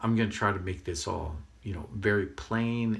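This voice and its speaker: This man speaks at a fairly quick pace in a fairly low, somewhat breathy voice. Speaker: spiritual video channel host. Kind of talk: casual monologue to camera. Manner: hesitant, many fillers.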